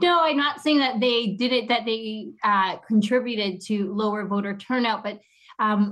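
A woman speaks at a moderate pace with ordinary pitch variation. She has a normal speaking voice. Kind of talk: interview.

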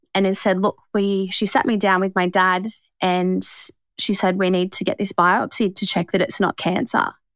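In an Australian accent, a woman speaks at a moderate pace with a medium pitch. The recording is very clean, with a silent background and a dry, close sound with no echo. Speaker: cancer survivor. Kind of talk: testimony.

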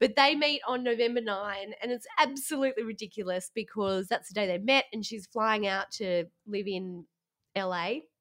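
Animated speech at a moderate pace with an Australian accent. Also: woman, fairly high pitch for a woman, ordinary pitch variation. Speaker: podcast co-host. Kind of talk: casual chat. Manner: animated, laughs a lot.

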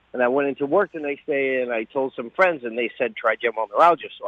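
A man with an American accent talks at a medium pitch. He has a plain, everyday voice with ordinary pitch variation. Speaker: caller. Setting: phone call.

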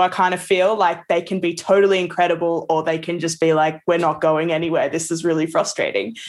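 A woman's fairly low voice comes through in an Australian accent. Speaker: music producer. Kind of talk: casual chat.

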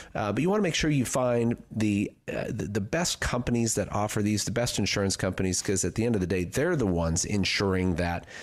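On a very clean recording with a silent background, a man speaks with a fairly low pitch and ordinary pitch variation. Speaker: retirement planner. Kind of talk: infomercial pitch, urgent call to action. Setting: radio studio. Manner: urgent, emphatic, repeating slogans.

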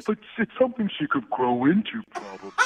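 This is a put-on character voice pitched fairly high. The pace is fairly quick. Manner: dopey.

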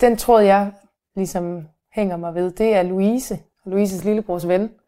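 A woman's dark, mellow voice at medium pitch, very slow, with fairly even intonation and long, frequent pauses. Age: young. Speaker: local resident, host's daughter. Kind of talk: casual interview.

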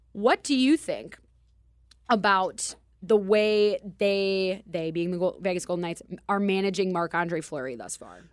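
A woman's medium-pitched voice with a Minnesotan accent, fairly slow, with ordinary pitch variation and big swings in loudness. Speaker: radio host. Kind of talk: casual chat. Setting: studio.

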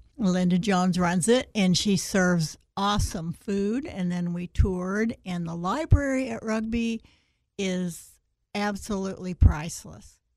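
A woman with an American accent has a plain, everyday voice and talks at a fairly slow pace with ordinary pitch variation. The recording is very clean, with a silent background. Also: medium pitch for a woman, big swings in loudness. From St. Louis, Missouri. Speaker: women's club member. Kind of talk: radio interview.

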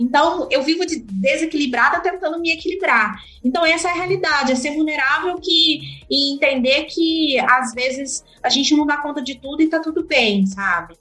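Her voice raised and projected, a woman talks at a moderate pace and high pitch with lively intonation and hardly any pauses. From Minas Gerais, Brazil (Uberlândia). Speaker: agronomist, market development manager. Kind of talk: interview conversation.

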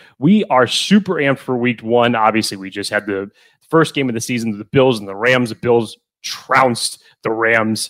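This is a normal speaking voice with ordinary pitch variation. Its loudness swings a lot. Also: man, medium pitch for a man, moderate pace. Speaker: podcast co-host. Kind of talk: casual sports podcast chat.

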